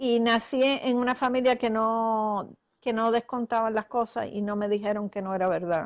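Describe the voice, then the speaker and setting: A woman with an ordinary speaking voice talks at a moderate pace and a fairly high pitch, with fairly even intonation over a quiet background. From Puerto Rico. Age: 60s. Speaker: author and astral projection practitioner. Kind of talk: interview. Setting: live video call broadcast.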